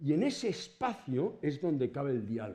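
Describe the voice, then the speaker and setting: Pitch swings very widely throughout. The tone is dark and mellow. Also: man. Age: 70s. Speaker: professor. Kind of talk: lecture. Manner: conversational.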